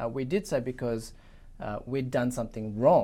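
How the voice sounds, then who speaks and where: A man's medium-pitched voice, dark and mellow in tone, at a moderate pace with an Australian accent. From Sydney, Australia (Chinese-Australian). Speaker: Old Testament lecturer. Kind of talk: interview discussion.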